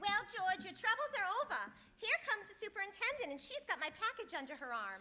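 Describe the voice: Putting on a character voice, a woman talks at a fairly quick pace with an extremely high pitch, a bright, sharp tone and big pitch swings.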